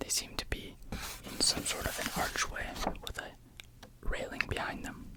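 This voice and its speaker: A whispering voice is heard with noticeable background noise behind it. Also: fairly slow pace. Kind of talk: ASMR close examination whisper. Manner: whispered.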